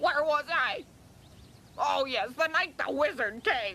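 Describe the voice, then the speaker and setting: A cartoonish character voice pitched high. Background noise is clearly present. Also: fairly slow pace. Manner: cranky, evasive, colloquial.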